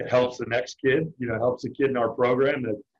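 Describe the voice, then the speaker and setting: At a moderate pace, a man with a medium pitch and a somewhat breathy voice speaks with fairly even intonation. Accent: American. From Richmond, Virginia. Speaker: college baseball pitching coach. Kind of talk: interview.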